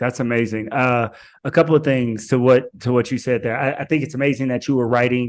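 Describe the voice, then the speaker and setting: Against a quiet background, a man talks at a fairly quick pace in a plain, everyday voice, with medium pitch and fairly even intonation. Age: 40s. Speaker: podcast host. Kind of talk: podcast interview.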